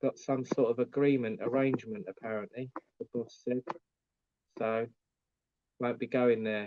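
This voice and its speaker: With an English accent, a man speaks at a moderate pace and medium pitch. His intonation is fairly even, broken by long, frequent pauses. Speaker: YouTuber vlogger. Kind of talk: live stream chat.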